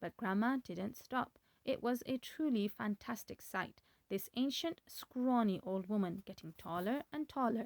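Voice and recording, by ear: The passage is read aloud in a natural voice, and the pitch moves with ordinary variation.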